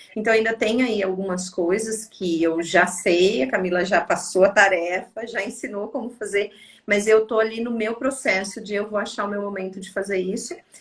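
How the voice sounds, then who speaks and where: A woman talks at a medium pitch with ordinary pitch variation and hardly any pauses. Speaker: psychologist. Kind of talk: casual chat. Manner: fast.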